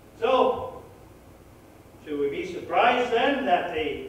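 Strong room echo surrounds a man speaking at a very slow pace. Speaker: pastor. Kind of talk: sermon. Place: church.

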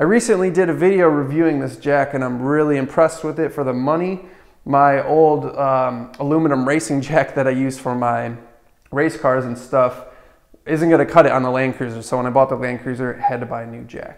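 Behind the speaker, things are quiet. He is a man talking at a fairly quick pace. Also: ordinary pitch variation. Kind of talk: tutorial. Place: garage. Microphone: camera far.

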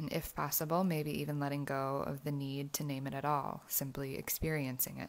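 Hardly pausing, a woman with a gentle tone talks at a fairly quick pace in a very deep, low pitch, her intonation monotone and flat. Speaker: meditation guide. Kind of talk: guided meditation. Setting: outdoors. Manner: gentle, instructional, with long pauses.

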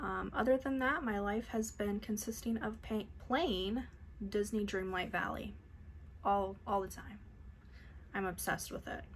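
Over light background noise, a woman speaks at a fairly slow pace, somewhat breathy, with ordinary pitch variation and long, frequent pauses. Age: 30s. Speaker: beauty YouTuber. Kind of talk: casual unboxing vlog. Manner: animated. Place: home room. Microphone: phone near.

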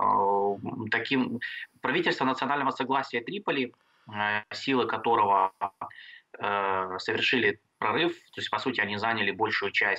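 A man speaking over a quiet background. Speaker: international affairs expert; guest. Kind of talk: interview. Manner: halting. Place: home room. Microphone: video call.

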